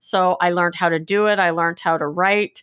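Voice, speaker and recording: With a Canadian accent and a plain, everyday voice, a woman speaks at a fairly low pitch and a moderate pace with fairly even intonation, the sound dry and close with no echo. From Canada, British Columbia. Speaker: life coach and performance consultant. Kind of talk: interview, personal recovery story. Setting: remote call.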